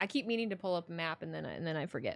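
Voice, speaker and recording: With an American accent, a woman talks at a fairly quick pace using lively intonation. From northern Indiana, US Midwest. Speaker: streamer. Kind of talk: live stream chat with viewers. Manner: casual, repetitive with false starts.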